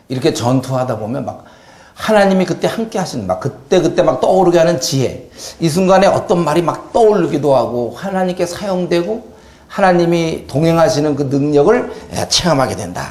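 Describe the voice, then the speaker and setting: Lively intonation amid audible room echo and noticeable background noise. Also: man, high pitch for a man. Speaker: pastor. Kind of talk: lecture. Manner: fast.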